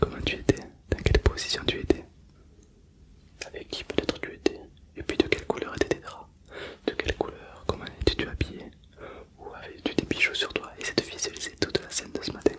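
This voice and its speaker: A man's whisper at a fairly quick pace, broken by long, frequent pauses, with big swings in loudness and noticeable background noise. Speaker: ASMR hypnosis guide. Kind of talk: hypnosis relaxation guidance.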